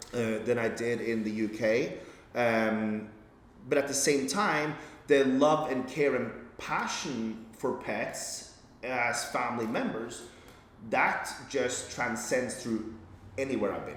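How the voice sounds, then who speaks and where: At a very slow pace, a man speaks at medium pitch with fairly even intonation, audible room echo and noticeable background noise. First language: Norwegian. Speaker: veterinarian. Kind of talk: podcast interview. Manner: halting, many fillers and repeats.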